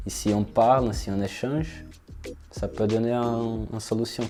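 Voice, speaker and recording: A man with a Brazilian accent at a medium pitch, a fairly slow pace and fairly even intonation, with music in the background. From southern Brazil. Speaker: engineering student. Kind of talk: interview answer. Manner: hesitant.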